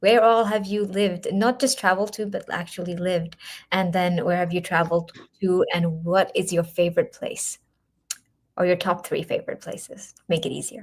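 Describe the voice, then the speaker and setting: A woman's medium-pitched, somewhat breathy voice with an American accent, at a moderate pace. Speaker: interviewer. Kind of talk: interview.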